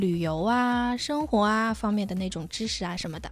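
Recorded very cleanly against a silent background, a woman uses a normal speaking voice with a fairly high pitch, ordinary pitch variation and a moderate pace. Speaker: radio journalist. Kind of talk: casual chat.

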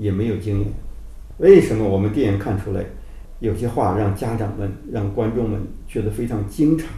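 A man with a fairly low voice talks at a moderate pace and ordinary pitch variation, with audible room echo. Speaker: documentary film director. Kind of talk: interview.

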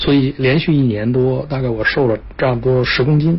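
A man's fairly even intonation comes through amid noticeable background noise. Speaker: business executive. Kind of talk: interview. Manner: frequent filler pauses.

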